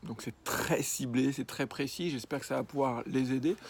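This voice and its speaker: A man's medium-pitched voice in a very clean recording with a silent background. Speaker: freelance illustrator. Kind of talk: vlog advice talk. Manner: stammering; hesitant, many fillers.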